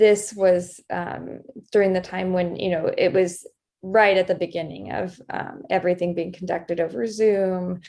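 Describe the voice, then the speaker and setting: Soft-spoken and dark, mellow in tone, a woman talks at a moderate pace with a medium pitch and fairly even intonation. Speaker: doctor and illustrator. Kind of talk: casual interview talk.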